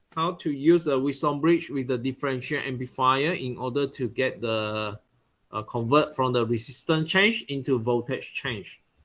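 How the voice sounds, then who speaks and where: Using a normal speaking voice, a man talks at a medium pitch and moderate pace with ordinary pitch variation. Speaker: university lecturer. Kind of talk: online lecture.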